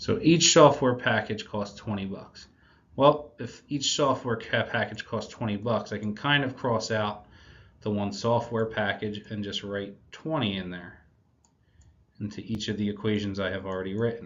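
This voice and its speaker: A man with a plain, everyday voice speaks at a moderate pace in a fairly low pitch with ordinary pitch variation. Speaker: math teacher. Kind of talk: recorded video lesson. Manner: casual.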